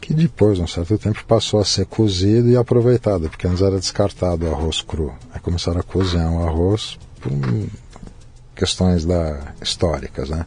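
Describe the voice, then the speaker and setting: Amid noticeable background noise, a man with a very deep, low voice speaks at a moderate pace with ordinary pitch variation. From Brazil, São Paulo. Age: 50s. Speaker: Japanese cuisine chef. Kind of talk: casual interview conversation.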